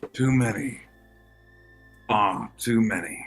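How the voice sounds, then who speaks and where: Faint music plays in the background as a man puts on a character voice at a medium pitch. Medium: actual play. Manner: formal, archaic.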